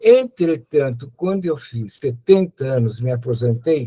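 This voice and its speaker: Somewhat breathy and dark, mellow in tone, a man's voice moves at a fairly slow pace. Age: 80s+. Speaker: retired medical professor. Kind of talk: testimony.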